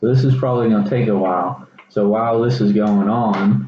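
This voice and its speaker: At a moderate pace, a man talks at a fairly low pitch with ordinary pitch variation. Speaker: college student. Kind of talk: science demonstration video. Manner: casual, hesitant with fillers.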